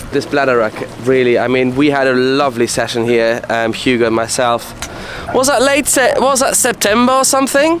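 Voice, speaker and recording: There's noticeable background noise as this man talks fairly quickly. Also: very even loudness. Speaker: fishing video host. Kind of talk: casual on-location fishing chat.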